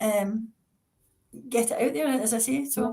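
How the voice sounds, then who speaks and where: In a Scottish accent, a woman speaks at a high pitch with ordinary pitch variation. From Scotland. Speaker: author, retired psychiatrist. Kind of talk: interview. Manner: fast.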